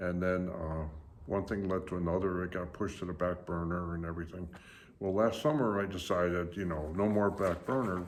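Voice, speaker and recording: A man with a very deep, low pitch, fairly quick pace and fairly even intonation, plus audible room echo. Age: 70s. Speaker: YouTuber. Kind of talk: casual vlog monologue. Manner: hesitant with many fillers.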